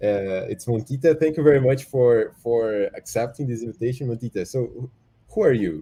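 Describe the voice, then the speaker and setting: In a very clean recording with a silent background, a man with a Portuguese accent speaks at a moderate pace in a dark, mellow tone with lively intonation. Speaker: livestream host. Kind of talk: casual interview on livestream. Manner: halting, repeats words.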